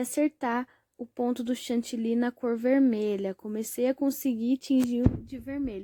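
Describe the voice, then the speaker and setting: A woman talks at a moderate pace, her high pitch carrying a dark, mellow tone. The sound is dry and close with no echo, and her intonation stays fairly even. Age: 20s. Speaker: home baker and mother. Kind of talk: casual talk to camera.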